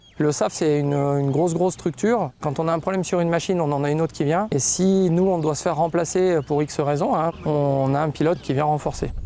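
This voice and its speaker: Fairly quick male speech with hardly any pauses, ordinary pitch variation and noticeable background noise. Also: fairly high pitch for a man. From France, Savoie. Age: 40s. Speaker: helicopter pilot. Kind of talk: documentary interview. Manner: hesitant, with fillers.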